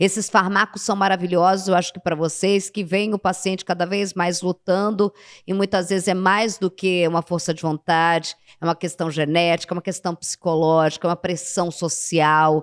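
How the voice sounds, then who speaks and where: The recording is very clean, with a silent background and a dry, close sound with no echo. Speech comes at a moderate pace in a monotone, flat intonation. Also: woman, fairly low pitch for a woman. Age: 40s. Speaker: talk show host. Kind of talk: interview.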